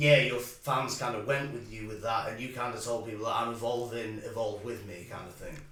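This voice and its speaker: In a Sheffield accent, a man speaks at a fairly quick pace with hardly any pauses and big swings in loudness. His medium pitch holds fairly even intonation over noticeable background noise. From Sheffield, northern England. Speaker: podcast co-host. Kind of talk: podcast interview.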